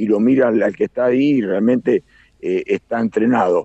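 Speaking fairly slowly at a medium pitch, a man talks with an Argentine accent. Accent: Rioplatense Argentine Spanish. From Argentina, Buenos Aires province (Carlos Casares). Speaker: aerobatic pilot. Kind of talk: live radio interview. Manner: halting, with many fillers and repetitions.

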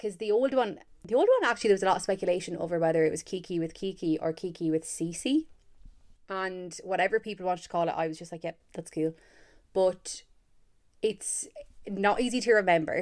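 A woman speaks fairly quickly in an Irish accent, with an animated tone, medium pitch and ordinary pitch variation. She leaves long, frequent pauses, and the recording is very clean with a silent background. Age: 20s. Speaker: podcast host. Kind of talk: casual solo chat.

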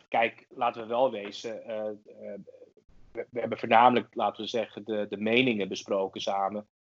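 A man talks at a moderate pace with a medium pitch. His intonation is monotone and flat, and the sound is dry and close with no echo. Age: 30s. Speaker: podcast co-host. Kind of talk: casual chat. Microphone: cheaper mic, quieter than co-host.

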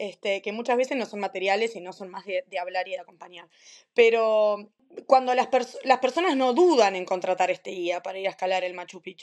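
In a Uruguayan accent, a woman speaks at a medium pitch and a moderate pace, with ordinary pitch variation, big swings in loudness and a quiet background. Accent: Rioplatense Spanish (Uruguayan). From Uruguay, Maldonado. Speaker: doula and lactation consultant, podcast co-host. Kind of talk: casual chat.

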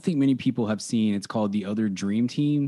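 Heard on a very clean recording with a silent background, a man with an American accent has an unremarkable speaking voice of medium pitch and ordinary pitch variation. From Dallas-Fort Worth, Texas. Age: 30s. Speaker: sports and movie podcast host. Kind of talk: casual chat.

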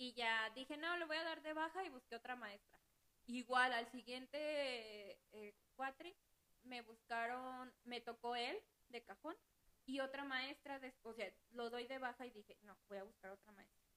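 A woman speaks with a high pitch and a bright, sharp tone, at a fairly slow pace. Her loudness swings widely while her pitch varies in an ordinary way. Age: 20s. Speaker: accounting assistant. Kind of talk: casual chat.

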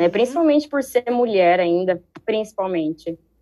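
A woman with an unremarkable speaking voice talks fairly slowly at a medium pitch, her pitch varying in an ordinary way. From Brazil, Ribeirão Preto (São Paulo state). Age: 20s. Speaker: street dancer and dance teacher. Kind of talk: casual chat.

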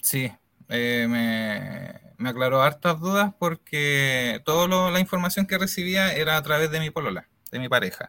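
This is an unremarkable speaking voice with lively intonation. It moves at a fairly slow pace. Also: man, fairly high pitch for a man. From Chile, Santiago (Puente Alto). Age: 30s. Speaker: innovation analyst, client giving testimony. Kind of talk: testimony interview.

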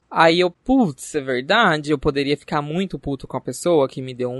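A man's fairly high voice at a moderate pace, in a dry, close sound with no echo. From Barretos, São Paulo interior, Brazil. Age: 20s. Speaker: podcast host. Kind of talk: casual chat. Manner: animated.

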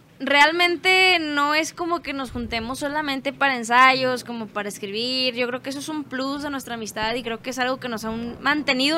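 A woman's raised, projected, high voice at a moderate pace, with ordinary pitch variation. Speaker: band musician. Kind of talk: casual chat.

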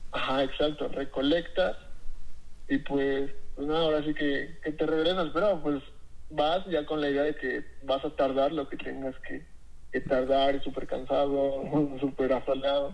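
A fairly slow, monotone man's voice, flat in intonation and fairly high in pitch. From Mexico, Tlaxcala. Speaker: chef. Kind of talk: interview. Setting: phone call. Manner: halting.

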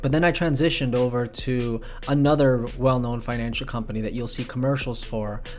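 A man speaks fairly quickly at a medium pitch. There is audible room echo and music in the background. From Bay Area, California; moved to Las Vegas at 11. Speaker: podcast co-host, music producer and financial services entrepreneur. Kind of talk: casual solo monologue. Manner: casual, filler-heavy.

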